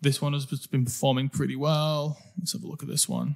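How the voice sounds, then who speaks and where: At a moderate pace, a man talks in a somewhat breathy voice with a fairly high pitch. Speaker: digital marketing coach. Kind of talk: screen-share tutorial. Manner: casual, with fillers.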